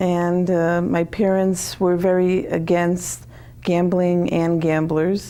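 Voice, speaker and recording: A woman's dark, mellow, fairly low voice, very slow and monotone, very even in loudness, with audible room echo. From Connecticut, US. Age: 60s. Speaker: author. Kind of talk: interview.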